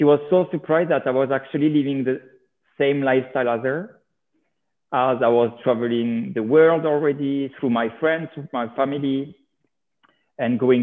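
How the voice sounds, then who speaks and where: A man with a French accent speaks at a moderate pace in a fairly high pitch for a man, his intonation fairly even. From France. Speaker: reality TV personality. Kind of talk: interview.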